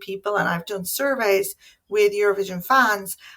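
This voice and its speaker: In an Irish accent, a woman talks at a fairly quick pace with a bright, sharp tone, medium pitch and ordinary pitch variation. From Ireland. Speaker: academic. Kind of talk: conference talk. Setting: home office.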